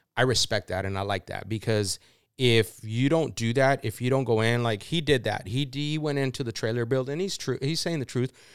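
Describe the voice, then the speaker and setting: In a plain, everyday voice, a man talks at a fairly quick pace with medium pitch and ordinary pitch variation, on a very clean recording with a silent background. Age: 40s. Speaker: off-road club podcast host. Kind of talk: casual chat.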